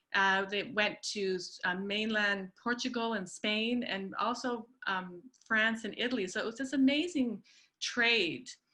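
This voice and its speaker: A woman's fairly high voice has a bright, sharp tone, ordinary pitch variation and a fairly slow pace. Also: quiet background. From Canada, born in Peru. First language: Spanish. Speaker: historian. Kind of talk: presentation. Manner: hesitant with many fillers.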